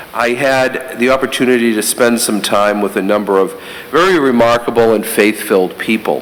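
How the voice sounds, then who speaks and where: A man with a Boston accent at a medium pitch and moderate pace, with ordinary pitch variation, very even loudness, audible room echo and noticeable background noise. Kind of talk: homily. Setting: church during Mass.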